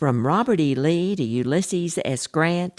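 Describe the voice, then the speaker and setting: A woman with a Texan accent speaks at a fairly slow pace, her very deep, low pitch moving with lively intonation. The recording is very clean, with a silent background and a dry, close sound with no echo. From Texas. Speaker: podcast host and author. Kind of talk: history podcast narration.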